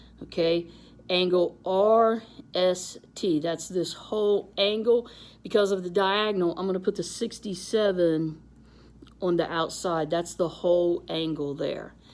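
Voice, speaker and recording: A woman with an ordinary speaking voice talks at a fairly slow pace, her medium pitch held in fairly even intonation. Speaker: math teacher. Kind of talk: tutorial.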